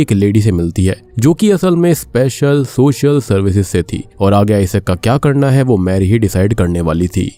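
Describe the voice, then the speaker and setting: In a dark, mellow tone, a man speaks with very wide pitch swings and very even loudness. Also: hardly any pauses. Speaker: movie explainer YouTuber. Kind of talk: film plot narration.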